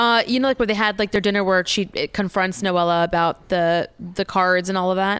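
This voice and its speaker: Speaking at a fairly quick pace, a woman uses an ordinary speaking voice with medium pitch, fairly even intonation and very even loudness. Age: 30s. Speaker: podcaster. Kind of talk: casual chat.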